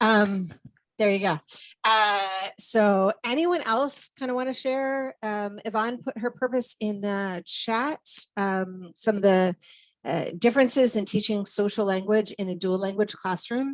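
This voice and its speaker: Speaking slowly-ish at a fairly slow pace, a woman with a Minnesotan accent uses a fairly high pitch and ordinary pitch variation, in a dry, close sound with no echo. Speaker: education specialist, presenter. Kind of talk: online presentation.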